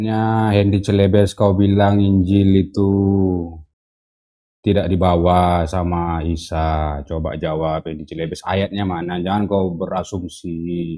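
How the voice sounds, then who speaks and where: Putting on a character voice, a man mumbles at a fairly slow pace in a very deep, low pitch. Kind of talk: confrontational, debating.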